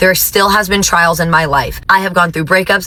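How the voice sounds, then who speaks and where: With noticeable background noise, a woman in an American accent speaks at a moderate pace and a medium pitch. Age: 20s. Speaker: teacher. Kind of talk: testimony. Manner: casual, conversational.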